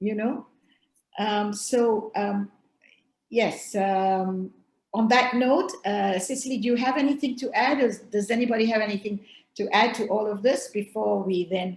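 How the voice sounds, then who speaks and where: A woman speaks at a fairly slow pace with fairly high pitch. Her voice is somewhat breathy, with ordinary pitch variation. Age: 70s. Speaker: panel moderator. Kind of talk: panel discussion.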